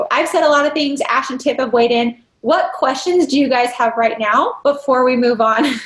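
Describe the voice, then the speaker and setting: Ordinary pitch variation at a fairly quick pace. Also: woman. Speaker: dental practice consultant. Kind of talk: interactive training workshop. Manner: fast.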